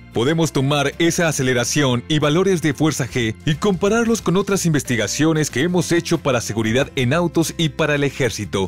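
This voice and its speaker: Over music in the background, a man with a fairly high pitch speaks with very wide pitch swings. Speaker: voice-over narrator. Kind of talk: voice-over narration of an informational video.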